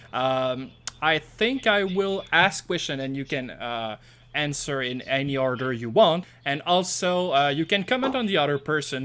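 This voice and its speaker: Speaking with a strong French accent, a man uses lively intonation at a fairly high pitch. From Quebec. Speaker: podcast host. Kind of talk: casual interview.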